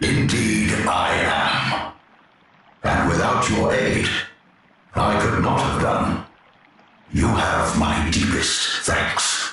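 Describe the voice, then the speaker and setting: A man does a put-on character voice at a very slow pace, with strong echo and faint music in the background. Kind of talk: archaic epic speech. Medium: game stream. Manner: grand, formal.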